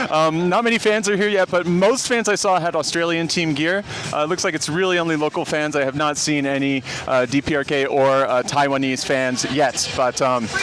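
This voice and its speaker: Against noticeable background noise, a man with a fairly high pitch speaks at a fairly quick pace, with ordinary pitch variation and very even loudness. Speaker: sports vlogger, football fan. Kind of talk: vlog commentary at a stadium. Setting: outdoors at a football stadium, in rain. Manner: casual with many fillers.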